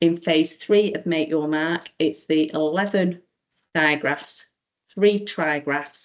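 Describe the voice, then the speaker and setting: A woman with an English accent, very deep and low in pitch, at a very slow pace. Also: quiet background. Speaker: teacher. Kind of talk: online training presentation.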